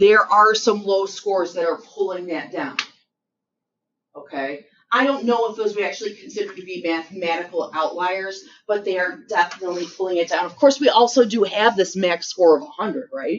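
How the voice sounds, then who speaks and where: A woman with an American accent and a plain, everyday voice talks at a fairly quick pace, her medium pitch carrying lively intonation and her loudness swinging widely. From western New York (Rochester area). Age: 50s. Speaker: high school math teacher. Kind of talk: classroom lecture. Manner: casual, conversational.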